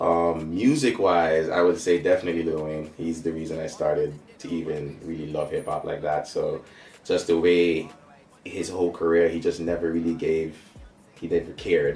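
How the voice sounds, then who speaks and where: A man with a Caribbean accent at a moderate pace. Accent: Caribbean island. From St. Maarten, Caribbean. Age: 20s. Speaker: rapper and songwriter. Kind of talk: interview answers.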